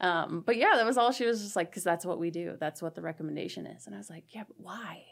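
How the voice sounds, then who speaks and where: Speaking at a very fast pace with hardly any pauses, this voice has vocal fry, lively intonation, big swings in loudness and an American accent. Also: woman, fairly low pitch for a woman. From southeast Nebraska, US. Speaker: college professor. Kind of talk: casual interview.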